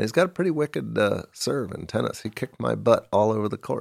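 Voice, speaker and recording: This man speaks with an American accent. The sound is dry and close with no echo, and the recording is very clean, with a silent background. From US Midwest, Kansas City. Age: middle-aged. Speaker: documentary filmmaker. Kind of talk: casual interview.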